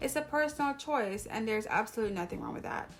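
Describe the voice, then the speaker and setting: A woman with a Jamaican accent, fairly high pitch and ordinary pitch variation. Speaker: YouTuber, hair vlogger. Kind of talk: casual vlog talk to camera.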